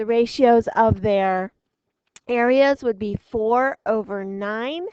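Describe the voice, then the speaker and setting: Very slow speech comes from a woman with a fairly high pitch. The sound is dry and close, with no echo. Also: ordinary pitch variation. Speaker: math teacher. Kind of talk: lecture. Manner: hesitant, many fillers.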